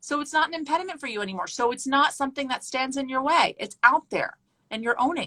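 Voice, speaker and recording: A woman with a high pitch and a bright, sharp tone uses a raised, projected voice at a very fast pace, with ordinary pitch variation and big swings in loudness. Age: 40s. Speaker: news anchor. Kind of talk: casual chat.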